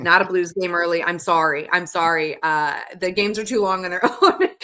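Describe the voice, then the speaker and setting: She has an American accent, a fairly low pitch, ordinary pitch variation and an ordinary speaking voice. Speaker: radio DJ and stadium announcer. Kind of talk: podcast interview answer.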